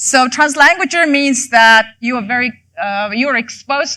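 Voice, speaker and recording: A woman's raised, projected voice, high in pitch, bright and sharp in tone, at a moderate pace with ordinary pitch variation. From Mongolia. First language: Mongolian. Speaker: professor. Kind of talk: lecture. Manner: halting, many fillers.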